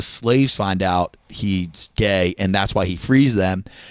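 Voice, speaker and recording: A man talks with a Philadelphia accent. The recording sounds dry and close, without echo. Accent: Delco. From Delaware County, Pennsylvania. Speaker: stand-up comedian. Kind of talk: casual chat.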